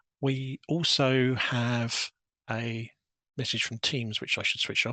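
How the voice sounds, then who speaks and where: With a British accent, the voice has a bright, sharp tone and fairly even intonation in a dry, close sound with no echo. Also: man. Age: 60s. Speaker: database systems programmer. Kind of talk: technical presentation. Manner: hesitant, with frequent fillers.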